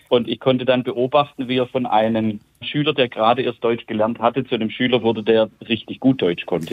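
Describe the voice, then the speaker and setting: A man's unremarkable speaking voice at medium pitch, with ordinary pitch variation and a fairly quick pace. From Germany, Calw area. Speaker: childhood pen pal. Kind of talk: interview.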